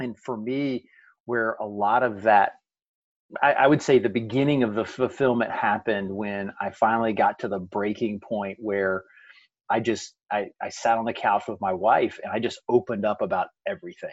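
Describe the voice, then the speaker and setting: A man's ordinary speaking voice at medium pitch and moderate pace, over a quiet background. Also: ordinary pitch variation. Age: 40s. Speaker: author and motivational speaker. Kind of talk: casual interview.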